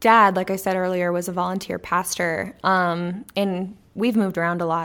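On a very clean recording with a silent background, a woman with an American accent talks at a moderate pace in an ordinary speaking voice, medium-pitched with fairly even intonation. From Texas, Corpus Christi. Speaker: podcast co-host, marketing specialist. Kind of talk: casual chat.

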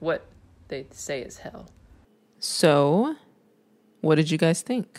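A woman speaks in an animated tone, with big swings in loudness. Her pauses are long and frequent. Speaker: conspiracy podcast host. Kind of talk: solo monologue.

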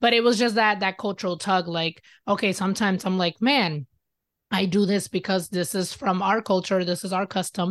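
Against a quiet background, a woman uses a plain, everyday voice at medium pitch, with ordinary pitch variation at a moderate pace, the sound dry and close with no echo. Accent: American. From US Midwest, Michigan. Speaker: podcaster and writer. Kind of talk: interview.

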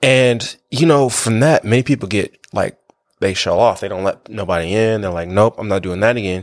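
Someone with an American accent talks at a fairly quick pace, with ordinary pitch variation. The sound is dry and close, with no echo. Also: man, fairly low pitch for a man. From Kansas. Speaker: elementary school teacher. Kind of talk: testimony.

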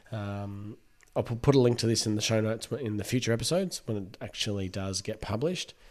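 This man talks at a fairly quick pace. His pitch is fairly low, with ordinary variation. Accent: Australian. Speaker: podiatry podcast host. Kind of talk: interview. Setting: building noise in background.

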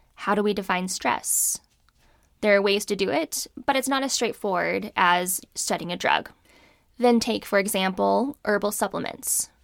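A woman with an American accent speaks at a medium pitch and a moderate pace, with ordinary pitch variation and vocal fry. The recording is very clean, with a silent background. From California. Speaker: physician and podcast host. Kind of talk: solo podcast monologue on medicine.

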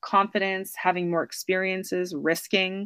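A woman speaks in a normal speaking voice with an American accent, at medium pitch and a moderate pace. The background is quiet. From United States. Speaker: author. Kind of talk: interview.

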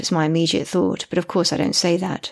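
A woman speaks at a fairly quick pace in an English accent. The recording is very clean with a silent background. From Britain. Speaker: audiobook narrator and author. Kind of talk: scripted narration.

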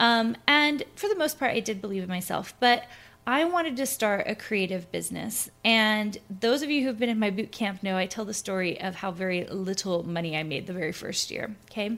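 A woman with an American accent and a plain, everyday voice talks at a moderate pace and fairly high pitch, with lively intonation and hardly any pauses. The recording is very clean and the background silent. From US South, Tennessee (Clarksville). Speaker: podcast host, design business coach. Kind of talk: solo podcast monologue. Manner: casual, with frequent fillers.

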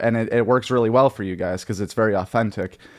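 A man speaks in an ordinary speaking voice, medium in pitch. His pitch variation is ordinary and the background is quiet. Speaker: podcast host. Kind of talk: casual interview chat. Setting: video call.

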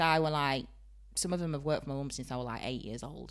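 A woman talks very fast with a Yorkshire accent. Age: 30s. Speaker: beautician and salon owner. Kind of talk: casual chat. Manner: animated.

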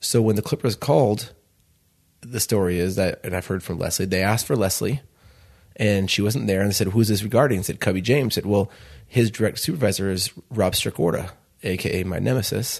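In a plain, everyday voice, a man talks at a fairly quick pace with a fairly low pitch and ordinary pitch variation against a quiet background. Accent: American. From Chicago. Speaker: restaurant founder. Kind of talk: interview.

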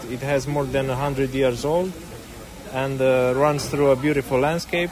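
Someone speaks with a Romanian accent over noticeable background noise. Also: man. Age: young. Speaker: filmmaker and railway volunteer. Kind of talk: interview.

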